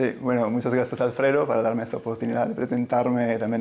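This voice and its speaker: A man speaks with an Italian-Swiss accent. His voice is at a medium pitch. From Italian-speaking Switzerland. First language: Italian (speaking Spanish). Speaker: general surgeon. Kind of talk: interview. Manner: halting, many repetitions.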